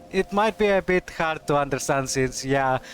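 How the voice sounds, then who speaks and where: With a Greek accent, the speaker talks at a moderate pace with ordinary pitch variation. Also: man. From Greece. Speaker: streamer. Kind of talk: casual chat. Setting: live stream.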